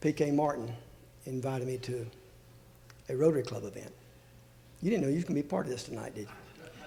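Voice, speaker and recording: A man at medium pitch with a dark, mellow, somewhat breathy tone, racing at a very fast pace yet pausing long and often, with ordinary pitch variation and big swings in loudness. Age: 70s. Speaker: board chairman. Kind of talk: gala speech. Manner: halting.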